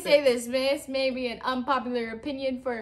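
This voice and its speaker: This woman's voice sits high in pitch. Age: 20s. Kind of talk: casual talk to camera. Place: home room. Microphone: camera far.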